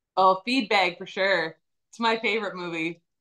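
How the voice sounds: A woman at a medium pitch speaks with a fairly bright tone, ordinary pitch variation and a moderate pace.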